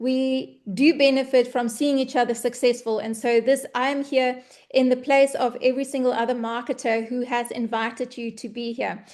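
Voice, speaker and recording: Her pitch is high for a woman, and her intonation fairly even. She talks at a moderate pace over a quiet background. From South Africa. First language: Afrikaans. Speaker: online business presenter. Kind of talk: webinar sales presentation.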